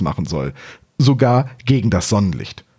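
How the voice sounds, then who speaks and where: A man with a dark, mellow tone speaks at a moderate pace. His intonation is lively. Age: 30s. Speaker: podcast host. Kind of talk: scripted narration.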